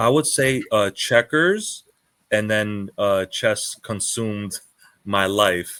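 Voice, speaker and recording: A man with a New York accent speaks at a fairly low pitch with ordinary pitch variation, his bright, sharp tone captured in a dry, close sound with no echo. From New York (Queens). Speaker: chess teacher. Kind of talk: interview.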